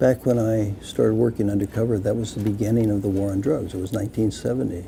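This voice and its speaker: Against noticeable background noise, a man with an American accent speaks very fast at a fairly low pitch with fairly even intonation. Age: 70s. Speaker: retired police officer, drug policy activist. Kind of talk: interview.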